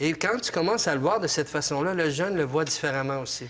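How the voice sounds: A man at a fairly quick pace, fairly high in pitch, with a fairly bright tone and ordinary pitch variation.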